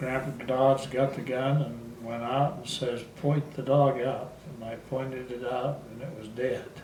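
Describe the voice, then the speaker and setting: A man's medium-pitched, monotone voice with flat intonation and hardly any pauses, plus audible room echo and noticeable background noise. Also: big swings in loudness. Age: 80s+. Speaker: grandfather telling life story, military veteran. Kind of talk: oral history interview. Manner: halting, with false starts.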